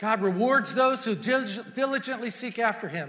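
A man's raised, projected voice with a bright, sharp tone, ordinary pitch variation and a moderate pace. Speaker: preacher. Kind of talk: sermon. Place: church. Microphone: lapel.

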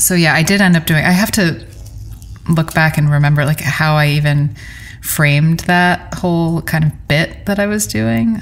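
A woman with an American accent speaks at a moderate pace in a very deep, low pitch. Her pitch variation is ordinary, and background noise is noticeable. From New York City. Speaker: songwriter. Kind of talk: casual interview.

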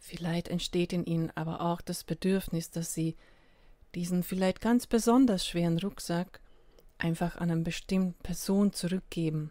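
Recorded very cleanly with a silent background, a woman with an unremarkable speaking voice talks at a fairly low pitch with fairly even intonation. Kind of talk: guided meditation. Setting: solo recording without music. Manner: slow, calm, soothing with long pauses; gentle, invitational.

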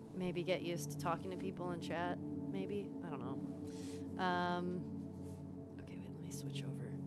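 A woman talks at a medium speed while loud music plays behind her. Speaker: live streamer. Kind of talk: casual stream chat. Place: home room. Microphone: headset.

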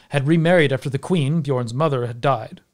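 A man speaks at a fairly high pitch for a man. His pitch varies in an ordinary way against a quiet background. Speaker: video creator and storyteller. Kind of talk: scripted narration of a Norse saga, told as a storytelling video essay. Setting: online video. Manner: animated, wry and conversational, with dry humour. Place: home room. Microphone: studio mic.

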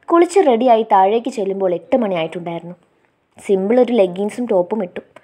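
The clip is plain reading aloud with ordinary pitch variation over a quiet background.

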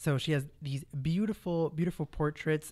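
Speaking at a moderate pace, a man with a fairly high pitch sounds enthusiastic, his pitch varying in an ordinary way. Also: quiet background. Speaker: radio host. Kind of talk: interview. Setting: studio. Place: studio.

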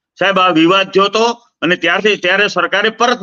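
A bright, sharp-toned voice, raised and projected. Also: man. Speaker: politician and activist. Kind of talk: interview. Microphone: bad connection, audio cutting out.

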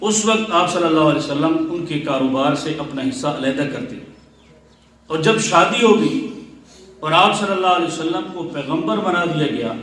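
A man speaks with a fairly high pitch, and the room echo is audible. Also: lively intonation. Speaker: Islamic scholar giving a sermon. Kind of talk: Islamic sermon (bayan) in Urdu.

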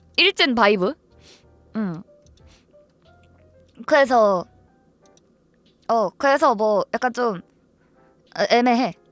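Lively intonation at a very slow pace, with long, frequent pauses and music in the background. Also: woman, fairly high pitch for a woman, dry, close sound with no echo. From Ansan, Gyeonggi Province, South Korea. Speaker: live streamer. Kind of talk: casual livestream talk to viewers.

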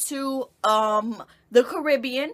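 A woman with an American accent uses a raised, projected voice, high in pitch and bright and sharp in tone, with ordinary pitch variation. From US Midwest, Dixmoor, Illinois. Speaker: vlogger. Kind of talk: casual vlog talk to camera.

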